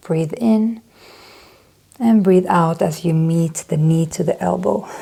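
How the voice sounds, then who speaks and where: Over noticeable background noise, a woman with a Swedish accent speaks very slowly, her fairly low pitch carried by lively intonation. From Sweden. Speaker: yoga instructor. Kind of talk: guided yoga class. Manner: calm instructive; occasionally searching for words.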